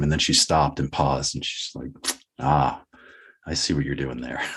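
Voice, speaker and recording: A man talks at a very fast pace in an American accent. His voice has vocal fry. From Boston, USA. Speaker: podcast guest. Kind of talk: interview answer. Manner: reflective, conversational.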